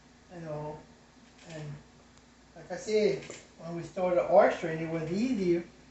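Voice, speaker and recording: Noticeable background noise accompanies a man speaking at a fairly slow pace with ordinary pitch variation. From South Louisiana Cajun. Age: 80s+. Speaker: craftsman, former oyster fisherman. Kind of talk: interview answer.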